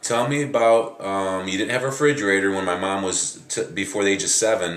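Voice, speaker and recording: A man speaks at a fairly quick pace in a fairly low pitch with ordinary pitch variation. It is a normal speaking voice. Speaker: fitness and fat loss coach interviewing his grandmother. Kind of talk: interview questions to a relative.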